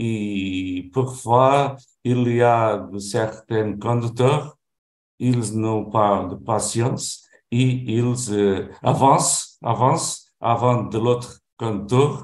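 A man with a Portuguese accent speaks very slowly at medium pitch, with fairly even intonation. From Portugal. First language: Portuguese (speaking French). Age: 70s. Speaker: retiree, language learner. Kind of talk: conversation practice. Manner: halting, many hesitations.

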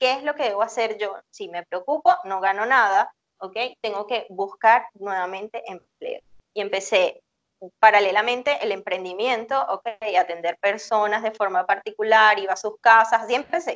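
A woman speaks at a fairly slow pace in an ordinary speaking voice, with ordinary pitch variation. The sound is dry and close with no echo, and her loudness swings widely. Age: 40s. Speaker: psychologist. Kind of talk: interview.

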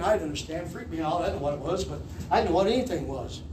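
A man's voice over noticeable background noise. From Kentucky. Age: 50s. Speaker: pastor. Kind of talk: sermon. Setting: church.

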